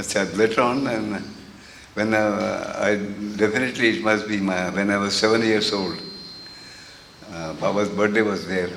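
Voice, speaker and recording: A man's flat, monotone delivery comes through noticeable background noise and audible room echo. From India. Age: 80s+. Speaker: interviewee recalling spiritual history. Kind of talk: interview reminiscence. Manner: halting, many fillers.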